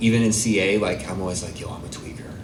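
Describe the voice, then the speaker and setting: A man speaks very fast in a fairly low, monotone, flat voice. Noticeable background noise and audible room echo fill the recording. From Arizona, US. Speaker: recovery speaker. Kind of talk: testimony. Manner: casual, halting with fillers.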